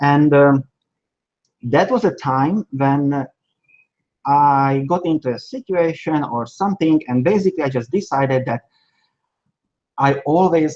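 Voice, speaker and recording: With a Hungarian accent and a fairly high pitch, a man speaks at a fairly slow pace with long, frequent pauses and ordinary pitch variation, the sound dry and close with no echo. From Slovakia, Hungarian minority. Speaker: China sourcing agent. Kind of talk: interview. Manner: halting.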